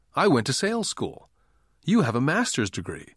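Vocal fry runs through speech at a moderate pace with very wide pitch swings, on a very clean recording with a silent background. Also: man. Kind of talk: audiobook reading. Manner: measured, even narration with light shifts to voice quoted dialogue.

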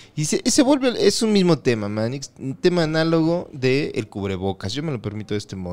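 Recorded very cleanly against a silent background, a man with a Mexican accent speaks at a moderate pace. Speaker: podcast co-host. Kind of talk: casual chat.

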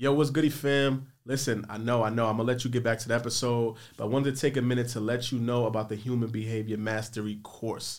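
In a normal speaking voice, a man talks at a fairly quick pace with a medium pitch. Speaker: podcast host. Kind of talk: casual chat. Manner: casual, upbeat.

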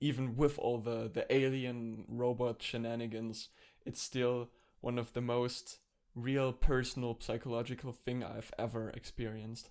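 A moderate pace in a German accent. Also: very clean recording, silent background. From Germany. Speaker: podcast co-host, video essayist. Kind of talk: casual chat.

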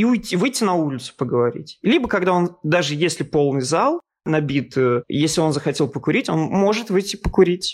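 On a very clean recording with a silent background, a man with a plain, everyday voice and a fairly high pitch speaks at a moderate pace with lively intonation. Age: 30s. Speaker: art historian and journalist. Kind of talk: casual interview.

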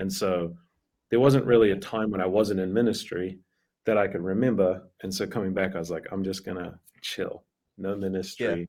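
With a New Zealand accent, a man speaks at a very deep, low pitch and with fairly even intonation. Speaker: pastor. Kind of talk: casual interview chat.

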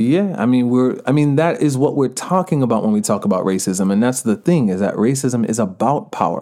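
Delivered at a fairly quick pace with hardly any pauses, the voice has a dark, mellow tone, an American accent, lively intonation and very even loudness. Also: man, medium pitch for a man. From Georgia, US, Jamaican family. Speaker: author and activist. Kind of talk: casual interview.

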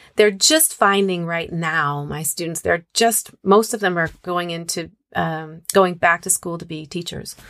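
On a very clean recording with a silent background, a woman with a normal speaking voice talks at a fairly slow pace and a fairly low pitch, with big swings in loudness. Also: fairly even intonation. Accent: American. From US Northwest, Moscow, Idaho. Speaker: singer and singing teacher. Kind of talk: casual interview.

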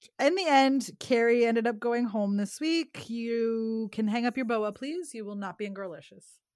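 On a very clean recording with a silent background, a woman with an ordinary speaking voice talks at a moderate pace with hardly any pauses, her fairly high pitch showing ordinary variation. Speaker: podcast host. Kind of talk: casual chat, recapping a TV show. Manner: laughs often, chatty.

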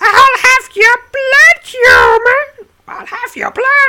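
A put-on character voice hisses as it speaks at a very slow pace. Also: woman. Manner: hissing, menacing.

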